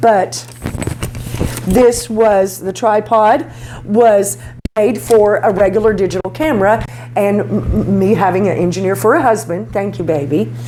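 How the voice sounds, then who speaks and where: Loud and animated, the voice moves slowly with long, frequent pauses and very wide pitch swings, amid audible room echo and noticeable background noise. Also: woman, medium pitch for a woman. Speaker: beauty vlogger. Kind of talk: tutorial. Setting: home garage studio. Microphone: cheap lapel mic, distorts when loud.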